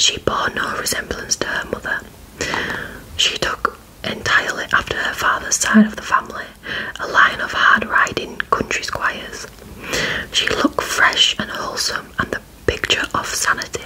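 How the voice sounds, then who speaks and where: Amid noticeable background noise, a woman whispers with long, frequent pauses. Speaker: ASMR creator / story reader. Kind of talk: whispered audiobook-style story reading. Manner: whispered, soft, slow.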